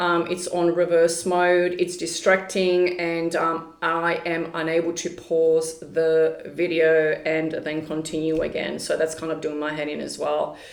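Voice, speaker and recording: A woman with a fairly low voice speaks at a fairly slow pace with hardly any pauses and monotone, flat intonation. Noticeable background noise and audible room echo are present. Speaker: spiritual channeler and tarot reader. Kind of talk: casual vlog monologue. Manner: hesitant, many fillers.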